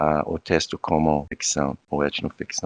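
Against a quiet background, a man with an American accent speaks at a very slow pace in a dry, close sound with no echo. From US, Virginia Beach. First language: English (speaking Portuguese). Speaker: anthropology professor. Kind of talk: interview conversation. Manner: halting.

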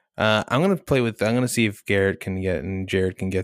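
A normal speaking voice moves at a fairly quick pace, the sound dry and close with no echo in a very clean recording with a silent background. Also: man. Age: 20s. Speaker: podcast co-host. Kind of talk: casual chat.

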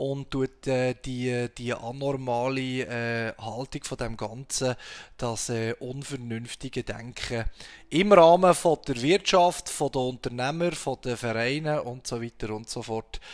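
Speaking very slowly with a Swiss accent, a man uses medium pitch and ordinary pitch variation. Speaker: podcast host. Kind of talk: casual chat. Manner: halting, many fillers.

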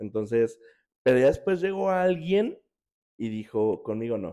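A man talks at a moderate pace with very wide pitch swings, captured in a very clean recording against a silent background. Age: 30s. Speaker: podcast host. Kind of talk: casual chat. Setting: in person, Querétaro.

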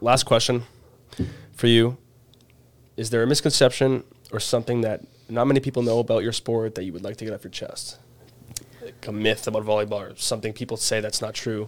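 A man with a Canadian accent speaks at a medium pitch and a fairly quick pace, his intonation flat and monotone. His loudness swings widely, and long pauses come often. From Canada. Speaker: student podcast host. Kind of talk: casual interview.

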